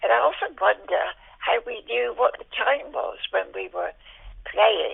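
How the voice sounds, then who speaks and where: At a fairly slow pace, a woman talks with a West Country accent. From Dorset, south-west England (Dorchester). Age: 90s. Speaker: elderly interviewee sharing memories. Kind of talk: oral history interview. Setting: phone call. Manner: halting, many fillers.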